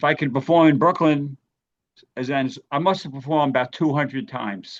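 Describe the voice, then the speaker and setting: Against a quiet background, a man with a New York accent talks at a fairly quick pace in a fairly high pitch. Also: ordinary pitch variation. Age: 60s. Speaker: comedian. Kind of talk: radio interview.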